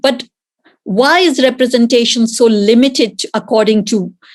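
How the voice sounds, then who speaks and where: With an Indian accent, a woman talks at a fairly high pitch with ordinary pitch variation. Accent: Indian accent, prominent in Britain. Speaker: author, panellist. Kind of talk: panel discussion.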